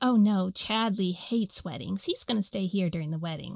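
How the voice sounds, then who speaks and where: A woman performs a put-on character voice at a medium pitch and a fairly quick pace. The recording is very clean, with a silent background. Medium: actual play. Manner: bubbly, affectionate.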